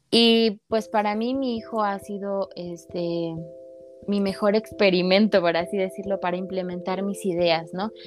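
A woman's unremarkable speaking voice, medium in pitch with ordinary pitch variation, at a fairly slow pace. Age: 20s. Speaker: psychologist and entrepreneur working with children. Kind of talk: casual interview.

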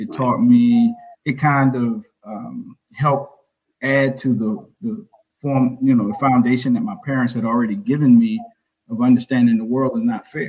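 A man talks in a Southern US accent. His pace is moderate. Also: medium pitch for a man, lively intonation. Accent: US South. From South Carolina, Orangeburg. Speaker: author and school founder. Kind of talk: interview.

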